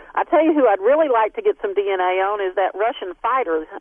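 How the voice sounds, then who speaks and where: A woman with a Southern US accent speaks at a fairly quick pace in a fairly high voice with ordinary pitch variation. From Texas. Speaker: scientist, DNA researcher. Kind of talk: radio interview. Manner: hesitant, many fillers.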